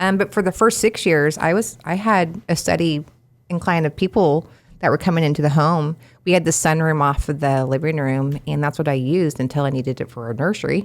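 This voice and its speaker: Very deep, low pitch marks this woman with an American accent, who talks at a fairly quick pace with ordinary pitch variation. The recording is very clean, with a silent background. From Kansas, Wichita area. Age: 40s. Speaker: handywoman business owner. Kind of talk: podcast interview.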